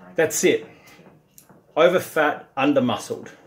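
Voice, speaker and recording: With an Australian accent, a man does the talking. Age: 50s. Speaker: strength and conditioning coach; conditioning coach. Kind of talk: direct-to-camera pitch. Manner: animated. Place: gym. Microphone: phone near.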